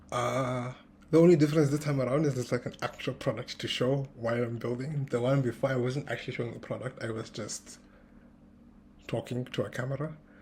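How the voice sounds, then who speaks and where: A man talks at a fairly quick pace in a somewhat breathy, medium-pitched voice with fairly even intonation. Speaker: tech founder vlogger. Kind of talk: casual vlog monologue. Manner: uneven loudness, practicing projecting; hesitant, many fillers.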